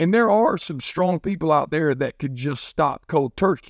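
A man uses a plain, everyday voice, fairly high in pitch with lively intonation. The recording is very clean over a silent background, with dry, close sound and no echo. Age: 50s. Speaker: high school football coach. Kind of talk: motivational devotional monologue. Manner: conversational, with many fillers.

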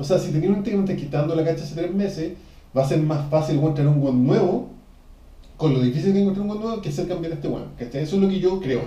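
This man talks at a very fast pace in a Chilean accent, his pitch high with ordinary variation and audible room echo around him. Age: 30s. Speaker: podcast host, musician. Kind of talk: casual chat.

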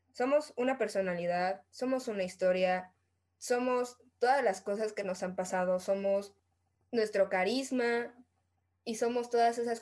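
A woman with a Mexican accent speaks at a fairly slow pace with ordinary pitch variation. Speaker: podcast co-host. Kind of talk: casual chat. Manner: animated.

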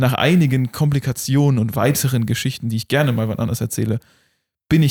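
Spoken at a fairly quick pace with ordinary pitch variation, the voice is somewhat breathy, recorded very cleanly against a silent background with a dry, close sound and no echo. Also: man. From Germany. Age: 20s. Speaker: podcast host. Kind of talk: casual chat.

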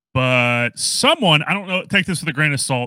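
This man has an American accent and a bright, sharp tone, with a medium pitch and ordinary pitch variation. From US South. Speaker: podcast host. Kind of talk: casual chat. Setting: video call. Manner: casual, halting.

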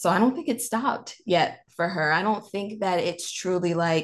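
An unremarkable speaking voice talks at a moderate pace with an American accent. Pitch varies in an ordinary way over a quiet background. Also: woman. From North Carolina. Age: 20s. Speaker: public speaker. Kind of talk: interview.

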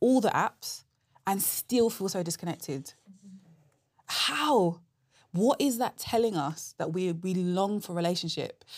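In a very clean recording with a silent background, a woman with a London accent speaks at a fairly slow pace and medium pitch, using lively intonation and long, frequent pauses. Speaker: apologetics speaker. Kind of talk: conversational interview answers.

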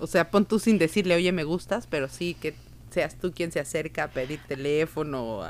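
A woman's very deep, low voice with vocal fry, ordinary pitch variation and a moderate pace. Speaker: podcast co-host. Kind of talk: casual chat. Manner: halting.

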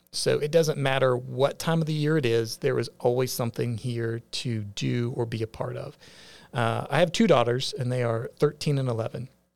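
Here is an ordinary speaking voice, a man with an American accent and a medium pitch. He keeps a moderate pace and fairly even intonation. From West Virginia, northern Panhandle. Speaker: firefighter and media entrepreneur. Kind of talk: interview.

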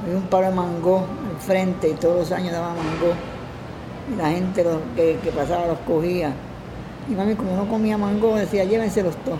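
A woman speaks at a moderate pace in a medium pitch, with ordinary pitch variation. There's audible room echo and noticeable background noise. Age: 80s+. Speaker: television makeup artist. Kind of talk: interview. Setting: care home.

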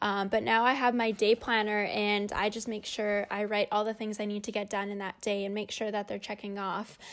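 In a very clean recording with a silent background, a woman with a Canadian Prairies accent talks at a fairly quick pace with hardly any pauses. Her medium-pitched voice has a monotone, flat intonation. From Canada, Winnipeg, Manitoba. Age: 20s. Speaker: race car driver. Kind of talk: interview.

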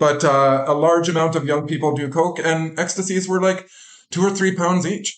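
In a western Canadian accent, a man speaks at a moderate pace with a fairly high pitch. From western Canada. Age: 40s. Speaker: recovery coach. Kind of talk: interview, personal testimony.

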